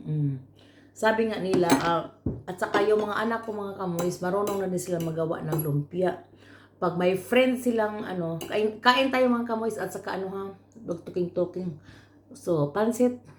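A woman with a medium pitch talks at a moderate pace over noticeable background noise. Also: ordinary pitch variation. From Philippines, Camotes Islands (Cebu). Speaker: vlogger. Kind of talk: casual vlog talk. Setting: at home eating.

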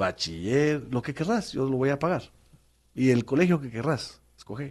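In a plain, everyday voice, the speaker goes at a fairly slow pace with lively intonation over a quiet background. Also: man. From Guatemala City. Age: 50s. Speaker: former public official; interview guest. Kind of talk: testimony. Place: studio. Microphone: studio mic.

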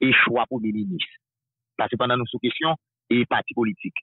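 The man speaks at a moderate pace with ordinary pitch variation. The sound is dry with no echo over a quiet background. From Haiti. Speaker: political news commentator. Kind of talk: political talk show discussion. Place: studio.

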